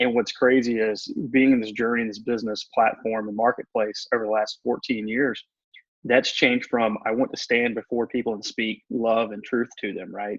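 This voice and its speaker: A man with a Southern US accent, monotone and flat, in a dry, close sound with no echo. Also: medium pitch for a man. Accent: Southern drawl. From US South. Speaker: motivational speaker and coach. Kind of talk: radio interview. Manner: calm, meditative.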